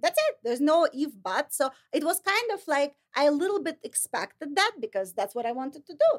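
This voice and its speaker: In a Russian accent, a woman with a high voice speaks at a fairly quick pace, her pitch swinging very widely, in a dry, close sound with no echo. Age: 40s. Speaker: licensed counselor and model. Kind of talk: interview.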